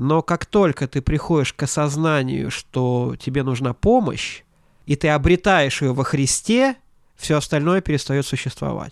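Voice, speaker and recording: On a very clean recording with a silent background and a dry, close sound with no echo, a man uses an ordinary speaking voice with ordinary pitch variation. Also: fairly high pitch for a man, fairly slow pace. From Latvia, Ventspils. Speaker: pastor and seminary teacher. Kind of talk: interview.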